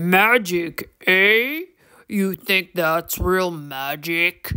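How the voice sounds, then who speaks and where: A woman uses a put-on character voice and speaks at a very slow pace. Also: medium pitch for a woman. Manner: mischievous.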